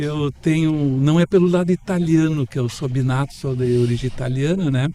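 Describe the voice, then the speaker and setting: Noticeable background noise accompanies a man whose moderate-paced speech shows ordinary pitch variation. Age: 70s. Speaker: professor and architect. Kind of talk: radio interview.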